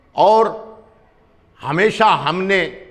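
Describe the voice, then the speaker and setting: A man is speaking. Audible room echo can be heard. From Punjab. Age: 60s. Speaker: local politician. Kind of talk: interview.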